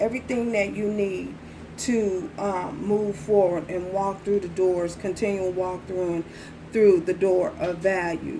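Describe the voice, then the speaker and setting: A woman with a medium pitch speaks at a fairly slow pace amid noticeable background noise and audible room echo. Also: ordinary pitch variation. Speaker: tarot reader. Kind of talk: tarot reading. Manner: repetitive; soft-spoken.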